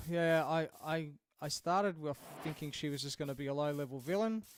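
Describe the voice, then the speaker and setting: With an Australian accent, a man talks fairly quickly in a fairly high voice on a very clean recording with a silent background. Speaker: video game streamer. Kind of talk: casual live stream chat. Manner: halting, many fillers.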